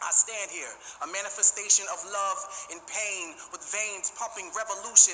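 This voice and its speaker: With music in the background, a man speaks passionately at a moderate pace in a high pitch. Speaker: graduate giving a graduation spoken word speech, teacher. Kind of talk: spoken word poetry performance at a graduation ceremony. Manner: passionate, rhythmic, emphatic.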